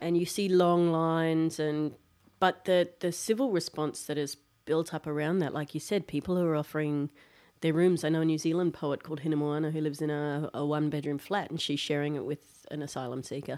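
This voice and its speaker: In an Australian accent, a woman talks at a fairly quick pace with fairly even intonation. Her pitch is very deep and low. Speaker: podcast host. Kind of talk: casual chat. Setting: studio.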